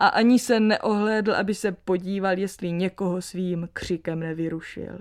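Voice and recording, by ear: What's heard is reading aloud in a natural voice.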